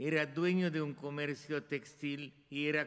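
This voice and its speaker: At a very slow pace, a man talks in a fairly high pitch. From Hungary and Romania (Transylvania). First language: Hungarian (speaking Spanish). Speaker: Holocaust survivor and artist. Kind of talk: testimony. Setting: stage with audience. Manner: halting. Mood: solemn, commemorative. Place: hall. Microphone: podium.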